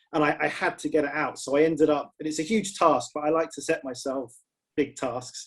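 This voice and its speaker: A man with a British accent, fairly high pitch and fairly even intonation. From Britain. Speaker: screenwriter and novelist. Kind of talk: panel discussion. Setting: video call.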